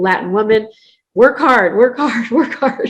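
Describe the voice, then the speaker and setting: A woman speaks at a moderate pace with a plain, everyday voice. Her intonation is lively. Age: 60s. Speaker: business coach and founder. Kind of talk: interview.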